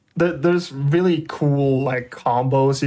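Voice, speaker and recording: With a non-native accent, someone talks at a moderate pace. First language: not English. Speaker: speedrun commentator. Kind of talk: live commentary.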